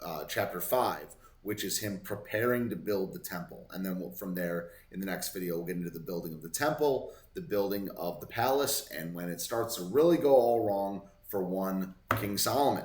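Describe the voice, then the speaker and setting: There is audible room echo as a man speaks with a fairly low pitch. His intonation is lively and his pace moderate. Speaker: Bible study vlogger. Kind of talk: Bible reading with commentary. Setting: hotel room. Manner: casual, halting with self-corrections; slurring words.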